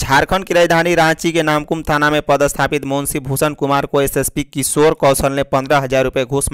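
A man's fairly high, fairly bright voice, clear and smooth in tone, with little pitch movement at a moderate pace

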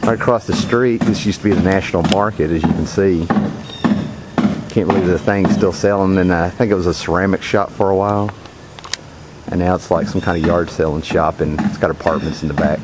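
The speech moves at a fairly quick pace. Loud background noise is present. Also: man, dry sound with no echo. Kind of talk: casual vlog chat. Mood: nostalgic, relaxed. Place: car. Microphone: phone near.

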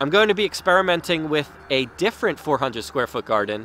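A man's voice, dry with no echo, over faint music in the background. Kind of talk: casual vlog chat. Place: garden. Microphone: phone near.

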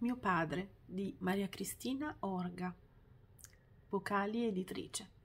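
The voice has a warm tone and is somewhat breathy. It proceeds at a very slow pace, broken by long, frequent pauses. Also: woman, ordinary pitch variation. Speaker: poetry reader. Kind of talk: poetry reading aloud, tender tribute to a father. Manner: measured, lyrical, warm and heartfelt delivery following the rhymes. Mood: tender, reflective. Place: home room. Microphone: phone near.

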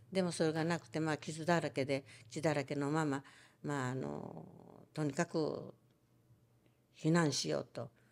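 A woman speaks at a moderate pace in a Hiroshima accent. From Hiroshima, Japan; Japan. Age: 90s. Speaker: atomic bomb survivor and storyteller. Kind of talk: testimony. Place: home room. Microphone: handheld.

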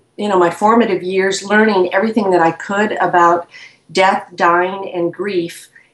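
A woman's voice carries an audible room echo. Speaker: interview guest. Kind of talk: interview answer. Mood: reflective, earnest. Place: home room. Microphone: video call.

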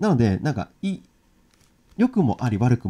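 A man with a dark, mellow tone speaks at a fairly quick pace. His pitch swings very wide. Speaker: ukulele and guitar teacher; ukulele teacher. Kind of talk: live-streamed lesson. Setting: live stream. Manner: casual, filler-heavy. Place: home room. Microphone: crackling audio noise; studio mic.

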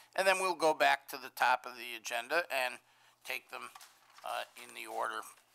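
With ordinary pitch variation, a man talks at a moderate pace. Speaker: zoning board chair. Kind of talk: public meeting proceedings. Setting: meeting room with microphone and podium. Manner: formal. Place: meeting room. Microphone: podium.

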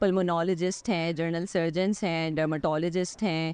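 The voice shows little pitch movement, with a slightly mellow tone that is clear and smooth. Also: woman, fairly low pitch for a woman, moderate pace.

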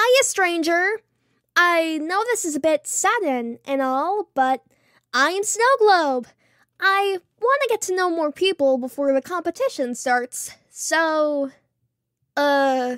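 A cartoonish character voice from a woman, extremely high in pitch and fairly slow, in a very clean recording with a silent background. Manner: cheerful, bubbly, blunt.

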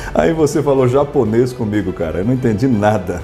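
Faint background music under a man's voice, at a moderate pace with ordinary pitch variation. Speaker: announcer / voice-over artist. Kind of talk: radio-style commercial read. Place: studio.

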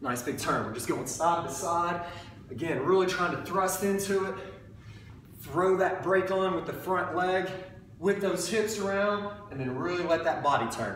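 A man talks at a high pitch. There is audible room echo and light background noise. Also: ordinary pitch variation, moderate pace. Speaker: fitness trainer. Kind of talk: tutorial. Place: gym. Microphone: camera far.

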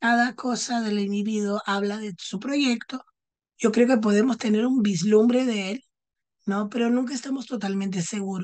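A woman speaks at a moderate pace against a quiet background. Her pitch is fairly high and her intonation fairly even. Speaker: psychologist; panelist. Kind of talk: talk; round-table academic talk. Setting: video call while traveling. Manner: unscripted. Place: home room. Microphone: earbuds.

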